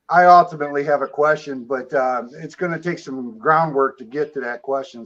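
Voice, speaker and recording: An unremarkable speaking voice from a man with an American accent, fairly high in pitch, fairly quick, and with fairly even intonation. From Michigan, US. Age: 60s. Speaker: caller, Air Force veteran. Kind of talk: casual chat.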